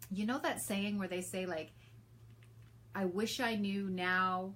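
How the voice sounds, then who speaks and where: Audible room echo follows a woman's medium-pitched voice. She keeps a moderate pace. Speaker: hypnotherapist and behavioral coach. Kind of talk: talking-head explainer video.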